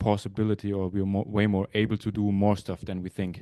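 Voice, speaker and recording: In a German accent, a man speaks at a moderate pace with a fairly low pitch and monotone, flat intonation, the sound dry and close with no echo. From southwest Germany (Freiburg area). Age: 30s. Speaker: ice hockey goalie. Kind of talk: interview.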